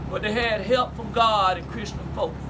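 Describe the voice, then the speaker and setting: Over noticeable background noise, a man with an American accent talks fairly quickly in a raised, projected voice that sits high for his sex. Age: 60s. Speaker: family elder telling family history. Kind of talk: storytelling to family.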